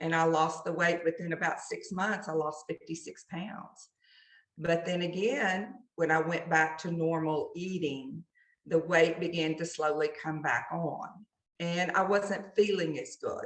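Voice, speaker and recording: Speaking at a fairly slow pace, a woman keeps a fairly low pitch and fairly even intonation. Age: 60s. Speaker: teacher and coaching client. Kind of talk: interview.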